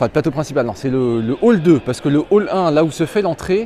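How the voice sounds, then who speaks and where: Over noticeable background noise, a man talks at a fairly quick pace with lively intonation and a fairly high pitch. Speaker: gaming streamer. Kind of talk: live walkthrough stream. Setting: trade show floor. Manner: casual, animated; loud.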